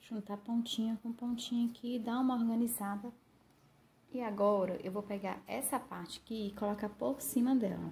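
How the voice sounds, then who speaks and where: A woman talks at a moderate pace with fairly even intonation. Her fairly high voice has a dark, mellow, somewhat breathy tone. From Brazil. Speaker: craft tutorial youtuber; craft tutor. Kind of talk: tutorial. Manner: casual, warm, with many diminutives. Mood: calm, friendly.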